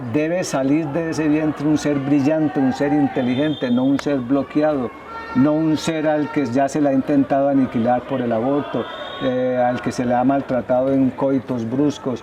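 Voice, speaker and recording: Against noticeable background noise, a man speaks in a monotone, flat intonation at a fairly high pitch. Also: moderate pace, very even loudness. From Colombia, Medellín. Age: 60s. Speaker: psychologist. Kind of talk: TV interview. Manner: halting, repeats words.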